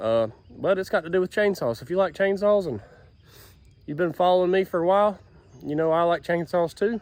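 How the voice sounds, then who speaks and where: A loud, high-pitched man's voice at a fairly quick pace, with long, frequent pauses. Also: ordinary pitch variation. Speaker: YouTube chainsaw hobbyist. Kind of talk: casual vlog. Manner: a little loud.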